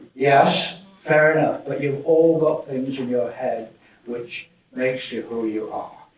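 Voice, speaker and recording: A man's fairly high voice at a very slow pace, with audible room echo. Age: 80s+. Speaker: management professor. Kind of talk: conference keynote talk. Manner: animated.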